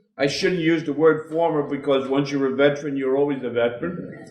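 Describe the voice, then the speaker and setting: Fairly high-pitched male voice with noticeable background noise and audible room echo. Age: 70s. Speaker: war veteran. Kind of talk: speech. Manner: animated.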